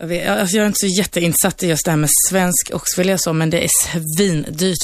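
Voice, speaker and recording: Talking at a fairly quick pace with ordinary pitch variation, a woman has an unremarkable speaking voice. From Sweden, Turkish family. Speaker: bar owner. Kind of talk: studio debate. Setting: radio studio.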